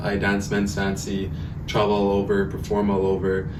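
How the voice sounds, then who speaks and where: Amid noticeable background noise and audible room echo, a man with a western Canadian accent talks at a moderate pace in a fairly low pitch. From Edmonton, Alberta, Canada (Cree). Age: 20s. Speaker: entrepreneur and powwow dancer. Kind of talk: podcast interview. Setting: studio with cameras. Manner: casual, filler-heavy with 'like'.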